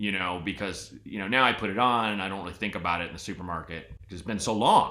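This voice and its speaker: A man with a West Coast accent talks at a very fast pace in a fairly low pitch, his animated, bright, sharp tone showing ordinary pitch variation over audible room echo. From Portland, Oregon. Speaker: podcast host. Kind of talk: casual chat.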